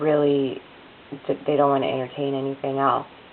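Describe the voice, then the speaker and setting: Very deep, low pitch from a woman, with noticeable background noise. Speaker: vlogger with chronic illness. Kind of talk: personal video diary. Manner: halting, many fillers.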